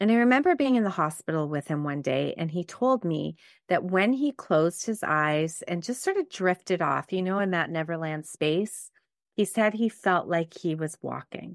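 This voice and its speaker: With a Montreal accent, the speaker uses lively intonation at a moderate pace, in a dry, close sound with no echo and a quiet background. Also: woman, fairly low pitch for a woman. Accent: Anglophone Montreal Canadian English. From Quebec, Canada (West Island, Montreal). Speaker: podcast host and life coach. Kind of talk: solo podcast monologue.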